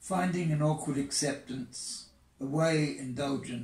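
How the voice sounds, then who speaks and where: A man's somewhat breathy voice at a very slow pace, with ordinary pitch variation and audible room echo. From England. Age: 80s+. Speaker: poet. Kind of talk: poetry reading. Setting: outdoors. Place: home room.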